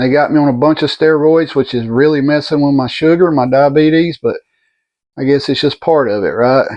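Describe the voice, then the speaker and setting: With a Southern US accent, a man talks at a moderate pace, his fairly high pitch held in fairly even intonation. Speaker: vlogger recovering from surgery. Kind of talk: personal video update. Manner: halting.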